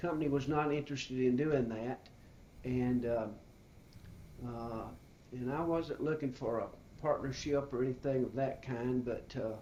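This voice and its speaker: In an Alabama accent, a man speaks at a moderate pace with a dark, mellow tone and a medium pitch. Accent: Southern US (Alabama). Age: 60s. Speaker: retired business owner. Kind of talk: interview. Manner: halting, many fillers.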